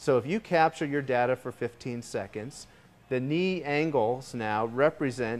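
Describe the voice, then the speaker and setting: A man is talking. The rise and fall of his pitch is ordinary. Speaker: presenter. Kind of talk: product demo presentation. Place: studio. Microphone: lapel.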